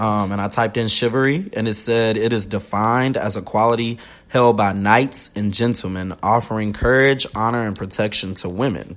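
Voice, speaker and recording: In a very clean recording with a silent background, a man talks at a moderate pace with hardly any pauses. He has an unremarkable speaking voice, fairly low in pitch, with fairly even intonation. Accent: American. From US South. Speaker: podcast host. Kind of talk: casual chat.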